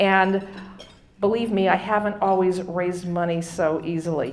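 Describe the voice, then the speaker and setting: A woman with a plain, everyday voice, medium in pitch, at a fairly slow pace. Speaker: charity auctioneer and fundraising strategist. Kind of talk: workshop presentation to an audience.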